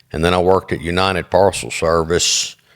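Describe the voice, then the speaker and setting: The speaker talks at a fairly slow pace with a Mississippi accent. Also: man. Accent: Mississippi Southern US. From US South (Jackson, Mississippi). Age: 60s. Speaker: business owner and author. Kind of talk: interview. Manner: halting, many fillers.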